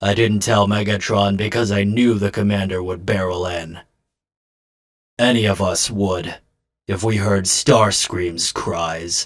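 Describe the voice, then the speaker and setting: Using a put-on character voice, a man speaks at a fairly slow pace in a fairly low pitch with fairly even intonation. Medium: fan dub. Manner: calm, measured, introspective.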